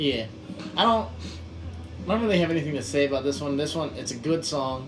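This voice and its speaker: A man's fairly high-pitched voice is heard with audible room echo. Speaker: punk band member. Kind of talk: album commentary.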